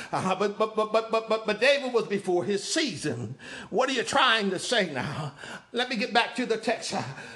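Over music in the background, a man speaks in a raised, projected voice at a high pitch. His tone is animated and his intonation lively. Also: moderate pace. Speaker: preacher. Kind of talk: sermon. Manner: animated, call-and-response cadence with repeated phrases; emphatic, rhetorical questions and exclamations.

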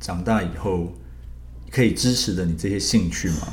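A man at a moderate pace, with very wide pitch swings and audible room echo. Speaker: liver surgeon. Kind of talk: interview.

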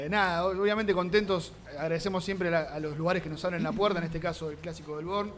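A man's high-pitched voice at a very fast pace, hardly any pauses, fairly even intonation, over noticeable background noise. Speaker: podcast host. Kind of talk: casual chat. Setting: recorded in a bar.

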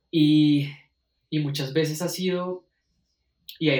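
Fairly high-pitched male voice with fairly even intonation. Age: 20s. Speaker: music student. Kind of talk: casual conversation. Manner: halting, many repetitions.

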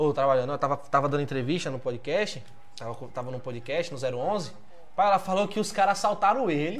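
A man with a fairly high pitch and lively intonation, audible room echo around him. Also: moderate pace. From São Paulo, Brazil, teenage years in Juazeiro region. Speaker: podcast host. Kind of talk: casual interview chat.

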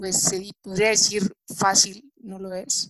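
Her voice sounds dry and close with no echo, pitched in the medium range for a woman, with monotone, flat intonation. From Mexico. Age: 20s. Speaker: young entrepreneur, business association president. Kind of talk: interview.

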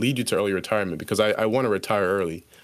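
Fairly even intonation marks a plain, everyday voice on a very clean recording with a silent background. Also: man. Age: 20s. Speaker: engineering student and photographer. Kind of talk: casual chat.

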